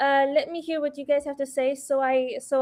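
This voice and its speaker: Speaking in a monotone, flat way, a woman with a non-native accent uses a high pitch. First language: not English. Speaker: trader, stream guest. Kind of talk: live stream chat.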